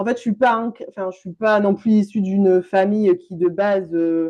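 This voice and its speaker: This woman speaks with a southwestern French accent. Her pace is moderate. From France, Landes (southwest). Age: 30s. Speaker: business coach. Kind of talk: interview conversation.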